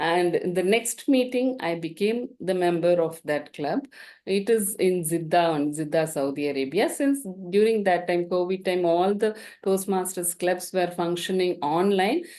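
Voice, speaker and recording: Spoken in a Tamil accent, the voice has a dark, mellow tone. Pitch varies in an ordinary way over a quiet background. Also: woman, medium pitch for a woman, moderate pace. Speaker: dental professor and guest speaker. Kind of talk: invited talk.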